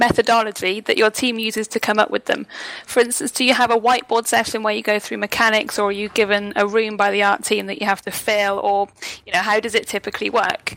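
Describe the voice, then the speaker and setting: Against noticeable background noise, a woman speaks very fast at a fairly high pitch with monotone, flat intonation, the sound dry and close with no echo. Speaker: podcast co-host. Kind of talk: casual chat.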